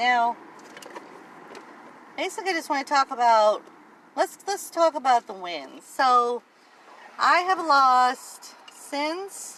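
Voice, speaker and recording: Raising and projecting her high-pitched voice, a woman speaks at a very slow pace with lively intonation and long, frequent pauses. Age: 50s. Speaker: weight-loss vlogger. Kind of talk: casual vlog monologue. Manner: hesitant, many fillers.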